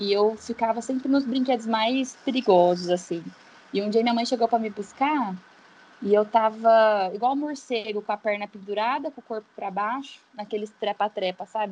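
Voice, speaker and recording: An unremarkable speaking voice, a woman's, fairly high in pitch, with ordinary pitch variation at a moderate pace. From São Paulo state interior, Brazil. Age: 20s. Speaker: physiotherapist. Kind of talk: casual chat.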